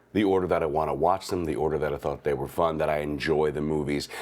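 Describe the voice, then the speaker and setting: A man talks at a fairly quick pace with vocal fry. His pitch is very deep and low. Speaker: movie reviewer. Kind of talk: casual video commentary.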